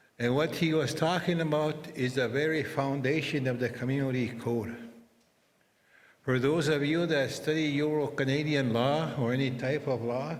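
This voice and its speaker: A man of medium pitch talks at a moderate pace with fairly even intonation, and audible room echo surrounds him. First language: Anishinaabemowin (Ojibwe). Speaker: interpreter. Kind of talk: ceremonial speech.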